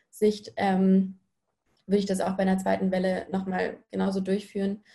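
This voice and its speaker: A woman speaks at medium pitch with a dark, mellow tone. Her voice is somewhat breathy. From Munich, Bavaria. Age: 20s. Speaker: university student. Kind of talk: panel discussion.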